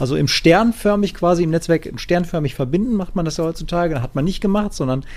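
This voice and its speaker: His pitch sits high. This man speaks very rapidly. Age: 30s. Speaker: gaming podcast co-host. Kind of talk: casual chat.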